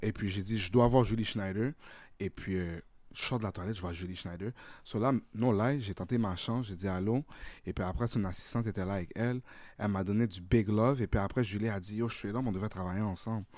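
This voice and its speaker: Very fast speech comes from a man with a fairly low pitch and fairly even intonation. The recording is very clean, with a silent background. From Ottawa, Ontario (Vanier), born in Haiti. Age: 30s. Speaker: comedian and content creator. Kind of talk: casual chat. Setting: studio.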